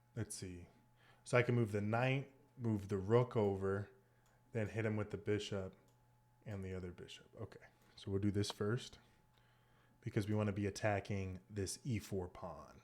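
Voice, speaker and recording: Pausing long and often, a man speaks at a moderate pace with fairly low pitch and fairly even intonation. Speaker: chess streamer. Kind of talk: casual gameplay commentary. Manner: thinking aloud, halting.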